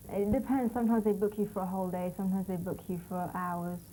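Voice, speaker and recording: In a London accent, a woman talks at a very fast pace in a medium-pitched, dark, mellow and somewhat breathy voice with fairly even intonation. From London, England. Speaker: fashion model. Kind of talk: interview.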